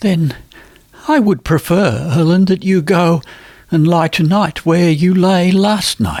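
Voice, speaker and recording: A man speaks in a put-on character voice, high in pitch and shaky. His pace is fairly slow. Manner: restrained, tremulous.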